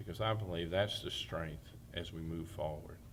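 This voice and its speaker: Room echo can be heard as the words come at a moderate speed. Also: man. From New Jersey, then Alabama from age 12. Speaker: town mayor. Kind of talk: oral history testimony.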